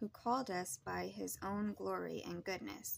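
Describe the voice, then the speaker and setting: Light background noise sits under a woman speaking at a fairly slow pace. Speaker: scripture reader. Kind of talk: scripture reading. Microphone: phone near.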